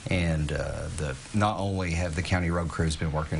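A man speaks at a moderate pace in a very deep, low voice with monotone, flat intonation over light background noise. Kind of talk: interview answer. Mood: calm, informative. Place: office.

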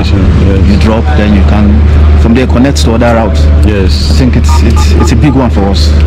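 A voice moves at a moderate pace with clear music in the background. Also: man. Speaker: passenger interviewed by vlogger. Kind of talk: interview answer. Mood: upbeat, hopeful. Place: station. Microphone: phone near.

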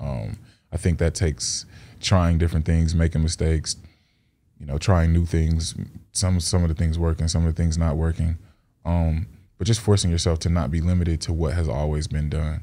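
A man speaks at a moderate pace with a very deep, low pitch. His tone is dark and mellow, with ordinary pitch variation. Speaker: rapper. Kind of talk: casual interview. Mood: calm, reflective. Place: studio. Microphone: studio mic.

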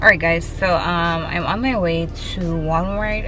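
A woman is heard with faint music in the background. The sound is dry, with no echo. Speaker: vlogger. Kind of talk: casual vlog chat. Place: car. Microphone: phone near.

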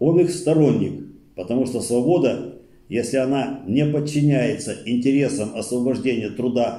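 A man speaks with vocal fry and lively intonation in a dark, mellow tone. The room echo is audible over a quiet background. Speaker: study circle leader. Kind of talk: reading aloud. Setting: study circle recording. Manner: formal, steady lecturing delivery; slow, measured, declamatory. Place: meeting room.

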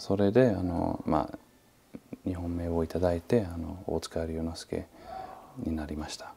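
A man with a very deep, low pitch speaks at a fairly slow pace, leaving long, frequent pauses. His loudness swings widely over light background noise. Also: ordinary pitch variation. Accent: non-native. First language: not Japanese (speaking Japanese). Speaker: martial arts master. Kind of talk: interview. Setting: martial arts hall. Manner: halting, many fillers. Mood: calm, reflective.

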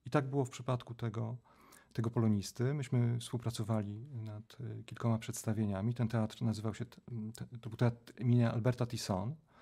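A man talks at a fairly quick pace in a somewhat breathy, dark, mellow tone. His intonation is monotone and flat, and the background is quiet. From Poland, Żnin (Pałuki, Greater Poland); Poland. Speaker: theatre scholar and professor; professor, podcast guest. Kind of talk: interview. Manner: halting, with many repetitions. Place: studio. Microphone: studio mic.

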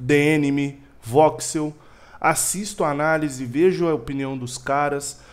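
A fairly slow pace from a man with a fairly high pitch. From Brazil. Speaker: podcast co-host. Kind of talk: casual chat. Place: home room. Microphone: headset.

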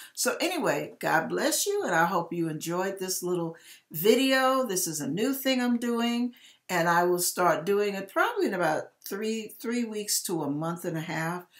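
A woman's voice with lively intonation over a quiet background. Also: moderate pace. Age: 60s. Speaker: YouTuber giving hair and wig tips; YouTuber giving hair. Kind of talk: casual video tutorial. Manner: animated. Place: kitchen. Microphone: webcam.

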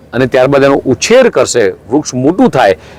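Noticeable background noise runs under this recording. A man speaks with a fairly high pitch and ordinary pitch variation. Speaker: state minister. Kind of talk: speech to reporters.

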